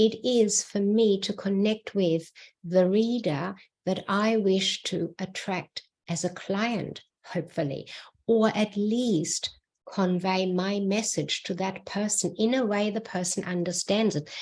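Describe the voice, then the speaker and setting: A woman with a non-native accent speaks fairly slowly at a medium pitch. Her somewhat breathy voice has fairly even intonation. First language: not English. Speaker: book writing mentor. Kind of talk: solo video talk.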